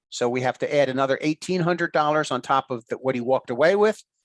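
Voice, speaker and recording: Recorded dry and close with no echo, a man speaks with a fairly high pitch and ordinary variation in it. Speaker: real estate instructor. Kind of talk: lecture. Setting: video call. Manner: fast.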